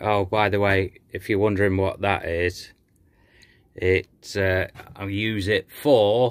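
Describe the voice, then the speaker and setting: Against a quiet background, a man with a fairly low pitch speaks at a very slow pace. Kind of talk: casual vlog chat. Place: workshop. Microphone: phone near.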